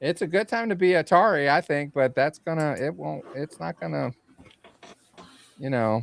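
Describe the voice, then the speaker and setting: A man's fairly high voice with very wide pitch swings at a moderate pace, dry and close with no echo. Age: 60s. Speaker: retro gaming show co-host. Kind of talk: casual chat.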